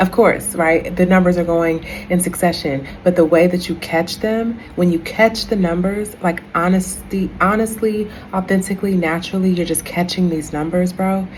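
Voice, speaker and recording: A woman with a medium-pitched voice speaks at a moderate pace with fairly even intonation and hardly any pauses, over noticeable background noise. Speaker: spiritual content creator. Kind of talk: casual vlog monologue.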